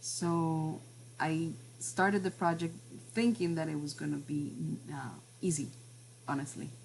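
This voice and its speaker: A woman's very deep, low, somewhat breathy voice in a Spanish accent, with lively intonation, a fairly slow pace, long, frequent pauses and audible room echo. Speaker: class teacher and professional translator. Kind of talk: online class presentation. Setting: video call, at home. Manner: halting, many fillers and repetitions.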